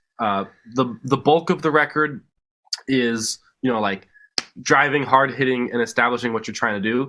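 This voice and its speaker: A man with a bright, sharp tone and medium pitch speaks at a moderate pace, using ordinary pitch variation and long, frequent pauses. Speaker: band musician. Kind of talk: casual chat. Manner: halting, many fillers.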